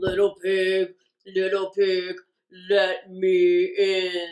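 A woman uses a put-on character voice at medium pitch. She speaks at a very slow pace.

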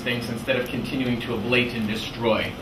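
Noticeable noise fills the background. Through it, a man talks. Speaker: presenter. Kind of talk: lecture. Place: classroom.

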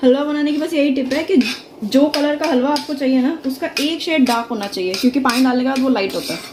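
A woman with a high-pitched, slightly mellow voice speaks fast with ordinary pitch variation while faint background noise sits underneath.

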